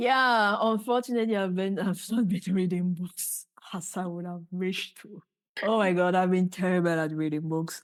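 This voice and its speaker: A woman speaks with a Cameroonian accent. Her loudness swings widely. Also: medium pitch for a woman, ordinary pitch variation, moderate pace. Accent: Cameroonian francophone English. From Cameroon, Douala. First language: French. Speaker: physicist and startup founder. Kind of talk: podcast interview.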